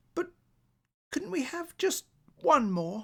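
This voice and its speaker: A man's put-on character voice, extremely high in pitch with very wide pitch swings. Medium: read story. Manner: soft, dreamy.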